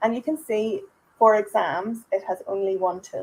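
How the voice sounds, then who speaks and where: This is a woman speaking. She has a Northern Irish accent. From Northern Ireland. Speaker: software trainer. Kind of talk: webinar product demo. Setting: online webinar. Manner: conversational, with fillers. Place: home room. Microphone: microphone shared for webinar, may have issues.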